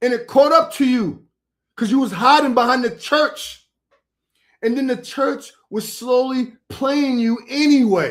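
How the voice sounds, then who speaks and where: The voice is loud and animated, with ordinary pitch variation. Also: man, extremely high pitch for a man. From New York. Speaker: preacher. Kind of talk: heated debate.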